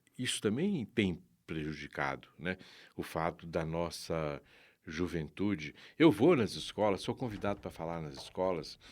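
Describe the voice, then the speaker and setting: A very deep, low male voice at a fairly slow pace, with ordinary pitch variation, in a very clean recording with a silent background. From Minas Gerais, Brazil (Sabará, near Belo Horizonte). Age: 70s. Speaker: activist and parliamentary aide. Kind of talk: interview.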